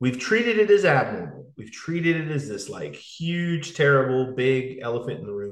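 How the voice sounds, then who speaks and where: A man talks at a moderate pace in a plain, everyday voice. His pitch is medium and his intonation lively. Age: 30s. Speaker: fitness coach and podcast host. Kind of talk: casual interview conversation.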